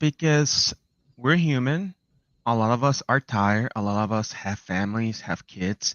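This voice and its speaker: A man with a non-native accent talks at a fairly slow pace. His intonation is lively. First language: not English. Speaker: game developer and industry analyst. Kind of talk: podcast interview. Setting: live stream.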